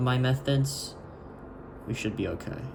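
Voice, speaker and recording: A man amid audible room echo and noticeable background noise. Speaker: vlogger practicing handwriting. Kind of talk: casual monologue while writing. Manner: halting, many fillers and restarts.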